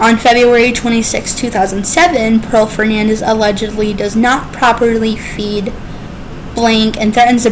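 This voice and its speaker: Against noticeable background noise, a woman with a fairly high voice speaks at a moderate pace in a monotone, flat way. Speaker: true crime YouTuber. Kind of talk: true crime narration to camera. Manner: stuttering.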